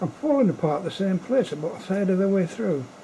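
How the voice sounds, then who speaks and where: A man talks fairly quickly as noticeable noise carries on in the background. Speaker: amateur artist. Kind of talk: casual monologue. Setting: at home late at night. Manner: whispering; halting.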